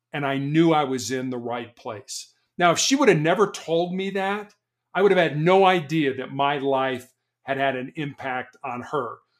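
Using an ordinary speaking voice with an American accent, a man talks at a moderate pace with a fairly high pitch and ordinary pitch variation. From US Midwest, Chicago. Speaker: motivational speaker and author, cancer patient. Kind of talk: interview conversation.

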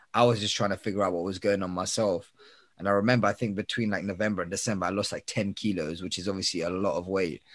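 A man with a London accent talks very fast at a fairly low pitch. His intonation stays fairly even. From Northwest London. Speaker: podcast producer and TV and radio host. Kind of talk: casual chat.

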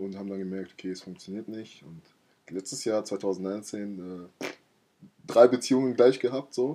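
Speaking at a moderate pace, a man with a fairly low pitch and a dark, mellow tone shows ordinary pitch variation and takes long, frequent pauses. His loudness swings widely, while the recording is very clean with a silent background. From Germany, Mainz area. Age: 20s. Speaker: podcast co-host. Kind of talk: casual chat.

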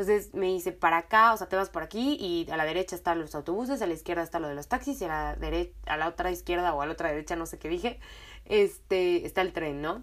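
Speaking with a Mexican accent, a woman talks at a very fast pace in an animated tone, her fairly low pitch showing ordinary variation, on a very clean recording with a silent background. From Mexico. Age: 20s. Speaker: podcast host. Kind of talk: casual storytelling monologue.

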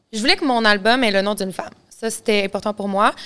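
A bright, sharp tone comes through in a Quebec accent. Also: woman. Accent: Québécois French. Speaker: singer. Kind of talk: casual interview.

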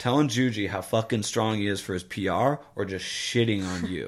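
In a normal speaking voice, a man with an American accent talks at a fairly low pitch with ordinary pitch variation. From US Midwest. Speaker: podcast host. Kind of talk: casual chat.

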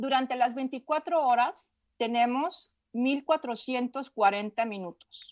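The voice is a woman's, high in pitch. Her recording is very clean over a silent background. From Mexico, Guadalajara. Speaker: meditation teacher. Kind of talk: interview. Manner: halting.

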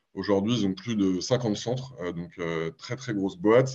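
Medium-pitched man in a normal speaking voice at a moderate pace, quiet background. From Paris, France. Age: 30s. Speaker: startup marketing executive. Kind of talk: podcast interview.

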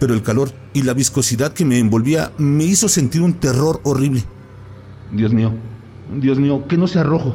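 A man's fairly high voice with ordinary pitch variation, a dramatic tone, very even loudness, a moderate pace and long, frequent pauses. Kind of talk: ghost story telling, first-person horror narration. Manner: hushed, suspenseful, dramatic pacing with pauses; halting, breathless at the frightening peaks.

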